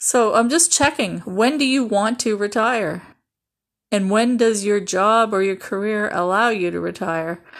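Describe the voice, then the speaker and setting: In a normal speaking voice with ordinary pitch variation, the speaker goes at a fairly slow pace on a very clean recording with a silent background. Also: woman, fairly high pitch for a woman. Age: 50s. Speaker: podcast host. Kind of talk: sales pitch.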